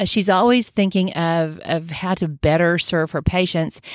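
A woman's unremarkable speaking voice, fairly low-pitched, with ordinary pitch variation, in a very clean recording with a silent background and a dry, close sound without echo. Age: 60s. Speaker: podcast host, doctor. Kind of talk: solo health podcast monologue.

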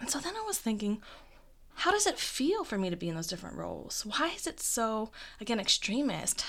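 In a very clean recording with a silent background, a woman with an ordinary speaking voice talks at a fairly quick pace and a fairly high pitch. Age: 20s. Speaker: podcast host and improviser. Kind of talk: solo podcast monologue.

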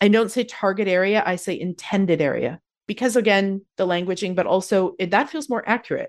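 A plain, everyday voice with a Canadian accent, ordinary pitch variation and a very clean recording with a silent background. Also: woman. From Canada, Calgary, Alberta. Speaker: yoga therapist. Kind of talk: interview conversation.

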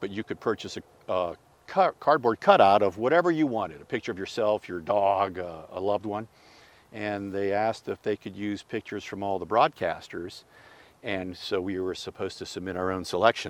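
The sound is dry and close with no echo. A man talks at a fairly quick pace in an ordinary speaking voice with ordinary pitch variation. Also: fairly low pitch for a man. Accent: American. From Pittsburgh, Pennsylvania. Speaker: sportscaster. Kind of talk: casual interview.

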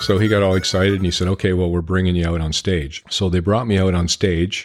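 With an Ontario accent, a man speaks in a very deep, low voice with fairly even intonation. The recording is very clean, with a silent background. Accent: Canadian (Ontario). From Ontario, Canada (Sarnia, near Detroit). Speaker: bluegrass harmonica player. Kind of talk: casual chat.

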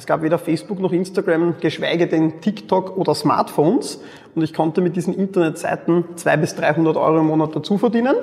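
A man talks at a fairly quick pace in a high pitch. Noticeable background noise runs behind him. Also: fairly even intonation. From Austria, Mödling near Vienna. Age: 30s. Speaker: e-commerce entrepreneur. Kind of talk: interview.

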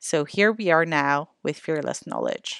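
Moderate pacing and ordinary pitch variation, with a dry, close sound with no echo over a quiet background. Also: woman. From Canada. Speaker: podcast host and educator. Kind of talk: podcast introduction.

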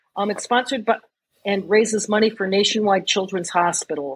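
This is a woman with a normal speaking voice. Her pitch is medium, with ordinary pitch variation. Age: 60s. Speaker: running group founder and marathon runner. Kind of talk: casual interview.

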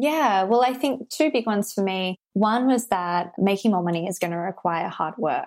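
A woman with an Australian accent and lively intonation, hardly any pauses, on a very clean recording with a silent background. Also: medium pitch for a woman, moderate pace. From Australia, Sydney. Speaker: business and abundance coach. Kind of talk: interview conversation.

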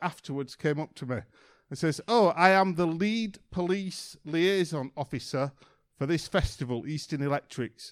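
This man has a Yorkshire accent and a fairly high pitch with ordinary pitch variation. The recording is very clean with a silent background and a dry, close sound with no echo. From Yorkshire, northern England. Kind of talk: sermon.

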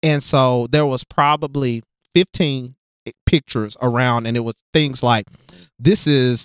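A man is heard in a very clean recording against a silent background, the sound dry and close with no echo. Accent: Southern US. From US South, West Tennessee (Jackson). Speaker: diversity consultant for schools, former teacher. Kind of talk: casual interview conversation.

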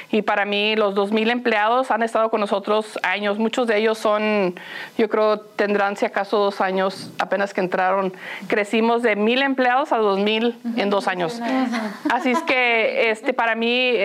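Fairly even intonation from a woman at a fairly high pitch, fairly slow, with very even loudness and noticeable background noise. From Los Angeles, Mexican-American family. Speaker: nonprofit executive. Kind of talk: interview. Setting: on location at a community school. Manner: laughs often.

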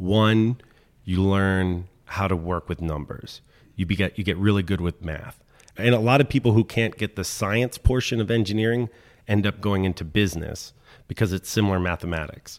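A man with an American accent speaks at a moderate pace with ordinary pitch variation, in a plain, everyday voice. The recording is very clean, with a silent background. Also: fairly low pitch for a man. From Washington DC. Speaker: mechanical engineer and manufacturing business owner. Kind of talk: interview.

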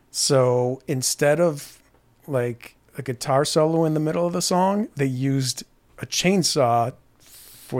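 Recorded very cleanly over a silent background, a man with an unremarkable speaking voice talks fairly slowly at a medium pitch with lively intonation. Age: 50s. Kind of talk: casual chat.

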